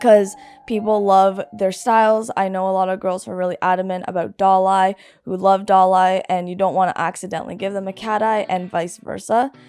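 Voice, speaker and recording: Medium pitch from a woman, intonation fairly even. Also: fairly quick pace. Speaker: lash technician. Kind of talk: tutorial. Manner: halting; casual.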